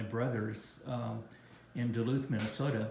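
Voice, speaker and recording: Moderate pace, ordinary pitch variation and audible room echo. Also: man. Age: 70s. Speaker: travel vlogger. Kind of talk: casual chat.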